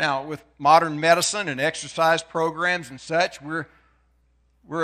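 Very clean and set against a silent background, the recording captures a man speaking at a moderate pace in a fairly high pitch with a bright, sharp tone. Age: 60s. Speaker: preacher. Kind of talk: sermon.

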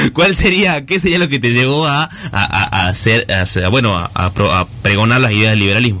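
A man's medium-pitched voice with very wide pitch swings and very even loudness. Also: moderate pace. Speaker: radio host. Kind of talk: radio interview.

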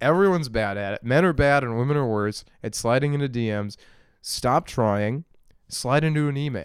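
A man with an ordinary speaking voice talks at medium pitch with lively intonation. The recording is very clean, with a silent background. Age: 20s. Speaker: solo podcaster. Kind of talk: casual monologue. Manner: rambling with frequent laughs.

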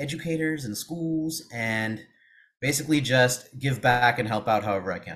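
A man at a medium pitch, in a West Coast US accent. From Seattle, US Pacific Northwest. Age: 30s. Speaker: former math teacher, education consultant. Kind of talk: interview.

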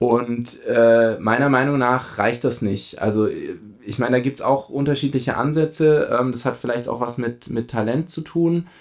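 A man with an unremarkable speaking voice speaks at a fairly slow pace, his medium pitch showing ordinary variation. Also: very clean recording, silent background. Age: 30s. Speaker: amateur runner. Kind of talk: casual chat.

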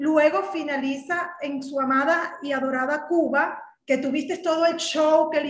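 A woman with a Venezuelan accent speaks in an animated tone at a high pitch and a fairly slow pace, with audible room echo. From Caracas, Venezuela. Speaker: political commentary podcast co-host. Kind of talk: political discussion.

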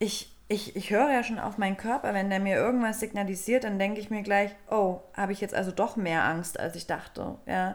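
This woman has an unremarkable speaking voice and keeps to a moderate pace. Her intonation is fairly even, and she hardly pauses at all. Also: medium pitch for a woman. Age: 30s. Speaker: podcast co-host. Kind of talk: casual chat. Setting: studio.

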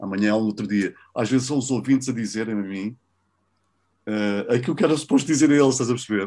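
A man with a European Portuguese accent speaks at a very fast pace, yet with long, frequent pauses. His pitch is medium with ordinary variation, on a very clean recording with a silent background. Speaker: radio host. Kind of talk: interview. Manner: animated; casual.

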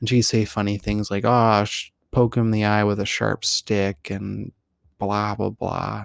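The recording is very clean, with a silent background and a dry, close sound with no echo. A man speaks at a fairly low pitch, fairly slowly, in a monotone, flat delivery. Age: 30s. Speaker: podcast host. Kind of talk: personal storytelling monologue. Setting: home recording.

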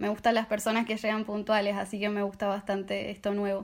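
Here a woman speaks at a fairly high pitch. The recording is very clean, with a silent background. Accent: Argentine. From Argentina. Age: 20s. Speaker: au pair. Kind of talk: casual chat.

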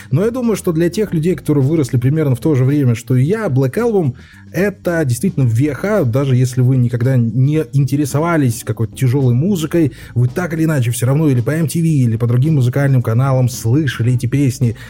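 Noticeable background noise accompanies a man speaking at a medium pitch and a fairly quick pace, with ordinary pitch variation and hardly any pauses. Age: 30s. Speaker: podcast host. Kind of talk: casual chat.

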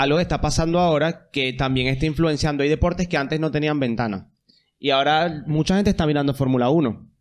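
Over a quiet background, a man with a fairly high voice speaks very fast, his loudness very even and his pitch varying in an ordinary way. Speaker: podcast co-host. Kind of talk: casual chat.

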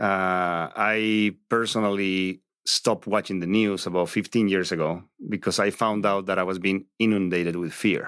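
A man with a Spanish accent, fairly low-pitched and fairly slow, with fairly even intonation, on a very clean recording with a silent background. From Bolivia. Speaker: real estate agent. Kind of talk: interview.

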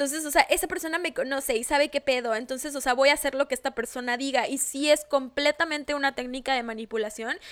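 A woman talks at a very fast pace in a high voice with a Mexican accent, her intonation fairly even. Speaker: podcast co-host. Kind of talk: casual chat.

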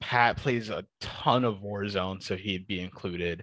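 A man with an American accent and a bright, sharp tone is heard in a dry, close sound with no echo over a quiet background. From US, Detroit, Michigan. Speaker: esports broadcast observer. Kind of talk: casual interview.

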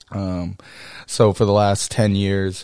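In a normal speaking voice with an American accent, a man with a fairly low pitch talks at a fairly slow pace on a very clean recording with a silent background. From Texas, College Station. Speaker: podcast host and hunting and fishing guide. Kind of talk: solo podcast monologue.

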